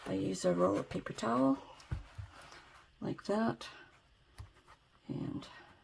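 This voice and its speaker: A soft-spoken woman with a very deep, low voice talks at a very slow pace, her pitch swinging very widely between long, frequent pauses. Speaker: ASMR creator. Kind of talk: DIY tutorial narration, soft-spoken ASMR talk to camera. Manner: soft, quiet.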